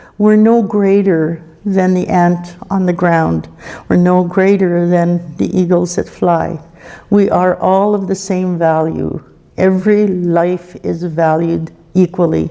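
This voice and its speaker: With noticeable background noise, a woman with a fairly low voice speaks at a very slow pace in a calm tone and monotone, flat intonation. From Canada, Cree First Nation. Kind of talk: spiritual talk at a conference opening. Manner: calm, reflective.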